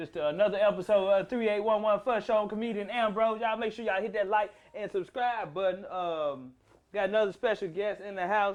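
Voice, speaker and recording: Speaking at a fairly quick pace with a Southern accent, a man keeps a high pitch and fairly even intonation. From US South, South Memphis, Tennessee. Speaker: comedian and podcast host. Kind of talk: casual chat.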